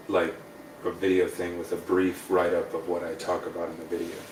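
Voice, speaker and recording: With audible room echo, a man talks at a moderate pace, leaving long, frequent pauses. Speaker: breath work and wellness coach. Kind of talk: casual chat.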